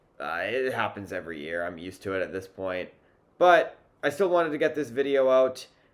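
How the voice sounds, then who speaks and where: A man talks at a fairly quick pace with a medium pitch. His pitch swings very widely. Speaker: music reviewer. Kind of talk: casual video review monologue. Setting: home video, sitting on couch.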